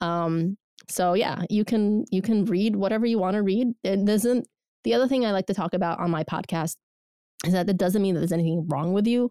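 A woman with a dark, mellow tone talks at a fairly quick pace and very even loudness, with a dry, close sound and no echo. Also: medium pitch for a woman, ordinary pitch variation. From Soviet Union (Georgia). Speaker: podcast host. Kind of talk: casual chat.

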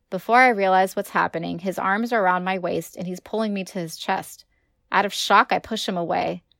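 The recording has a quiet background behind someone reading aloud in a natural voice.

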